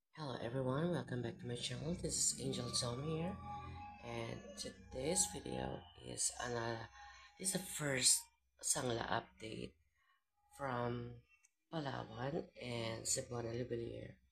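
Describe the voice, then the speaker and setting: With music in the background, the speech moves at a fairly slow pace with long, frequent pauses. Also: woman. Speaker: vlogger. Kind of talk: casual vlog talk.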